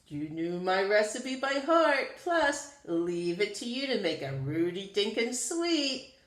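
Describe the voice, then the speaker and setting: Using a put-on character voice, a woman talks at a fairly slow pace with hardly any pauses, her fairly high pitch making very wide swings. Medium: read story. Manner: sighing, Yiddish-flavored.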